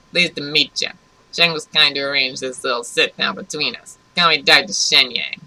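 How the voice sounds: In a put-on character voice with a New York accent, the speaker sounds nasal at a middle pitch, talking fairly quickly with fairly even intonation.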